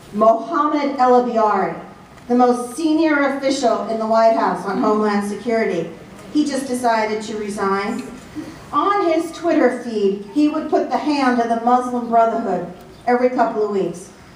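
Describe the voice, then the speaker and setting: Her intonation lively and her pitch fairly high, a woman with an American accent speaks at a moderate pace amid noticeable background noise and audible room echo. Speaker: national security analyst. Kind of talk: speech to a club audience. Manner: animated.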